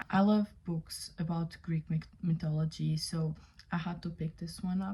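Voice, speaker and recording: Speaking at a fairly slow pace with a non-native accent, a woman has a dark, mellow, somewhat breathy tone and monotone, flat intonation. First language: not English. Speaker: book reviewer. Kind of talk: casual book review vlog. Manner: casual, many fillers.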